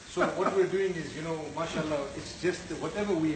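A man at a fairly quick pace with fairly even intonation, noticeable background noise around him. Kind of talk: casual vlog chat. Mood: playful, laughing. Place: kitchen. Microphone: phone near.

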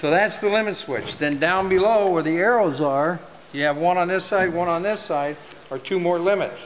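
There is faint background noise as a man speaks at a moderate pace. His pitch is high and varies in an ordinary way.

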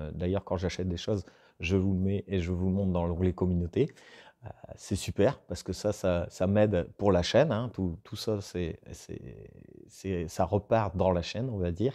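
This man's very deep, low voice has a dark, mellow tone and moves at a moderate pace. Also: ordinary pitch variation, quiet background. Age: 40s. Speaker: woodworking YouTuber. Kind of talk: casual vlog talking to viewers. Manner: hesitant, many fillers and repetitions. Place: workshop.

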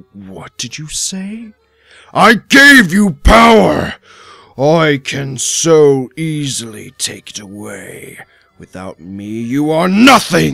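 A man's put-on character voice at a very slow pace. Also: fairly high pitch for a man. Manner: commanding, menacing.

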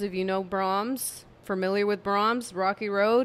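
A woman speaks at a medium pitch in a clear, smooth, fairly bright tone. Her tone is tired, and her intonation stays fairly even.

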